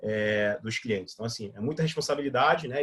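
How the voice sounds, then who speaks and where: With a somewhat breathy voice, a man speaks fairly quickly. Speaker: digital marketing instructor. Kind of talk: live online workshop. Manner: fast; casual, filler-heavy.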